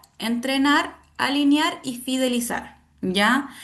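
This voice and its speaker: A woman talks very slowly at a high pitch with ordinary pitch variation, and audible room echo can be heard. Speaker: university lecturer. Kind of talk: online lecture.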